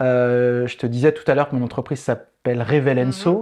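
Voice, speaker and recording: Over a quiet background, a man with an unremarkable speaking voice talks at a fairly slow pace with ordinary pitch variation. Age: 40s. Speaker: improv theatre facilitator and trainer. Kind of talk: interview conversation. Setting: studio set.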